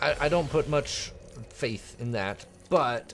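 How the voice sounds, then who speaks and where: Against music in the background, a man speaks at a very slow pace with lively intonation. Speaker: gaming commentator. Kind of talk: gameplay commentary. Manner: casual, halting with repetitions.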